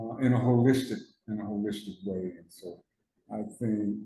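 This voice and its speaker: A man with an American accent, his voice dark, mellow, somewhat breathy and fairly low, with fairly even intonation at a moderate pace. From Newark, New Jersey. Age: 70s. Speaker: person in recovery, war veteran. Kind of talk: testimony. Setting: studio. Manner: halting, repetitive.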